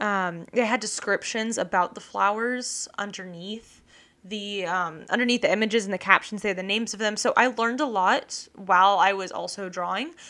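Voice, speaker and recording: A woman speaks at a medium pitch with a bright, sharp tone and fairly even intonation. She barely pauses, and the recording is very clean with a silent background. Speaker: podcast host and illustrator. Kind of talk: casual solo podcast monologue. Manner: fast; rambling, filler-heavy.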